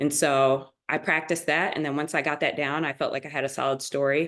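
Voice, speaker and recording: A woman's very deep, low voice at a fairly quick pace, against a quiet background. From Springfield, Massachusetts. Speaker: MBA student panelist. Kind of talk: webinar panel discussion.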